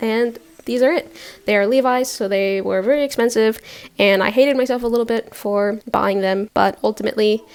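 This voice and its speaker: With an American accent, the speaker talks at a fairly quick pace and with fairly even intonation over noticeable background noise. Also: woman. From Norway. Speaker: artist and video creator. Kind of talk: casual vlog chat. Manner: talkative, rambling pace.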